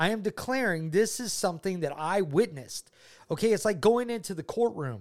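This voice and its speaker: An American-accented man with a high voice talks at a fairly quick pace in an animated tone with lively intonation. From US South, Georgia. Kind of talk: casual faith chat and testimony.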